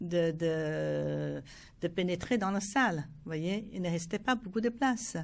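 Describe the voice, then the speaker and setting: A woman speaking at a very slow pace on a very clean recording with a silent background. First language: Chinese (speaking French). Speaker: film festival founder. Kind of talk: interview. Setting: TV studio. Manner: hesitant, many fillers.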